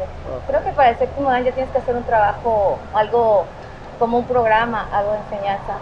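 A woman's high-pitched voice at a moderate pace over noticeable background noise. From Mexico, Tamaulipas (Ciudad Victoria). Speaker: judo instructor. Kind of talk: interview. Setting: dojo.

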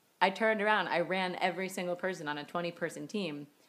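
Fairly low female voice at a moderate pace, on a very clean recording with a silent background. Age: 30s. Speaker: podcast host and running coach. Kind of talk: casual chat. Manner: loud; animated.

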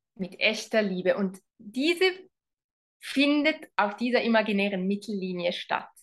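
A woman with an ordinary speaking voice, medium pitch, lively intonation and a fairly slow pace. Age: 40s. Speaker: relationship coach. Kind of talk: interview.

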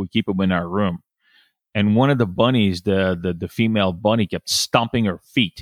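A man with a plain, everyday voice, fairly low pitch, fairly even intonation and a moderate pace, dry, close sound with no echo, very clean recording, silent background. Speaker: business development professional. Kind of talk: casual interview chat.

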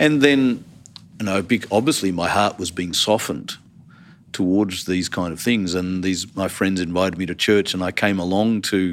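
At a moderate pace, a man with an Australian accent talks in a very deep, low pitch. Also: very clean recording, silent background. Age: 50s. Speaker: theology college dean. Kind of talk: interview.

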